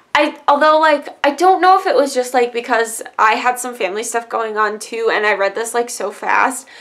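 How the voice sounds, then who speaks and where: The speaker's intonation is lively, set against noticeable background noise. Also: woman, high pitch for a woman. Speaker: book youtuber. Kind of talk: casual book review monologue. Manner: fast.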